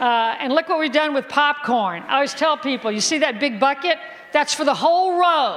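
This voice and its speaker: A woman talks in a high pitch at a moderate pace, her tone animated with ordinary pitch variation. Noticeable background noise runs behind her. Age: 60s. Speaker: physician. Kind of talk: health seminar talk.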